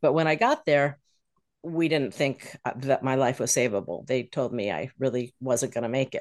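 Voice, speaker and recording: A woman speaks in an American accent at a very deep, low pitch. Her intonation stays fairly even. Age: 60s. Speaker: retired financial advisor. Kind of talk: casual interview chat.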